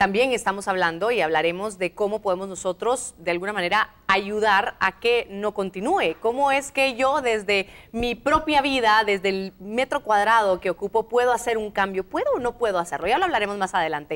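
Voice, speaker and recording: A woman in an ordinary speaking voice talks at a moderate pace with hardly any pauses, her medium pitch showing ordinary variation. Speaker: TV show host. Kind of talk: TV interview.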